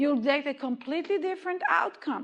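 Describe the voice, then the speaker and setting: A woman speaks with lively intonation in a slight Israeli accent. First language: Hebrew. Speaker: movement therapy educator. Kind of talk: lecture.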